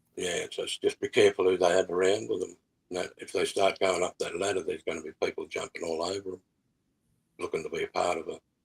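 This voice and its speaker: A man with an Australian accent talks at a very fast pace, and the sound is dry and close with no echo. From Australia, New South Wales. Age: 60s. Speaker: musician. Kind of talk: interview. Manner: halting.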